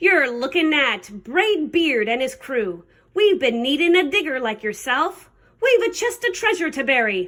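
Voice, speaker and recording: In a put-on character voice, a woman bellows loudly and gruffly at a high pitch, her very wide pitch swings carried at a moderate pace. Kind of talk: storybook pirate voice. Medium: read story. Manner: loud, gruff, bellowing.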